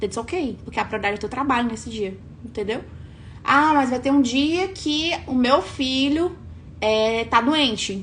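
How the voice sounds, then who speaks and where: Animated and high-pitched, a woman speaks at a moderate pace. Her pitch varies in an ordinary way. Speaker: online coach. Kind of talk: live stream talk.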